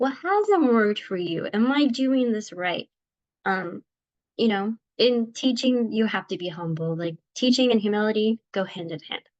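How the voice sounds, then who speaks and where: A woman talks at a moderate pace with lively intonation and a fairly high pitch. The sound is dry and close with no echo, against a quiet background. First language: Spanish. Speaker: teacher. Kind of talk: class presentation. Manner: casual, many fillers (um, like).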